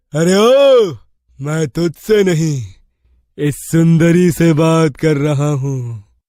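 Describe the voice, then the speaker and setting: Using a put-on character voice, a man speaks very slowly in a fairly high pitch with a menacing tone. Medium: read story. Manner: menacing, gloating.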